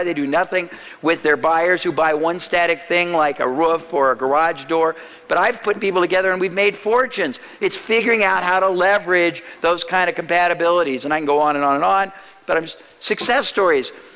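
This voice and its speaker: With noticeable background noise behind him, a man speaks at a fairly quick pace in a high pitch, with ordinary pitch variation. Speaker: marketing speaker. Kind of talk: seminar talk. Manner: fast.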